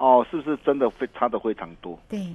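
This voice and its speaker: With a Taiwanese accent, a man speaks in very wide pitch swings. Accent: Taiwanese Mandarin. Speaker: stock market analyst. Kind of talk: radio market commentary. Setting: radio studio.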